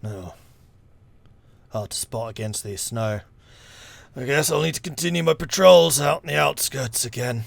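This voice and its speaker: Using a put-on character voice, a man speaks in a raspy, medium-pitched tone at a moderate pace with long, frequent pauses. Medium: actual play. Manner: blunt, gruff, terse.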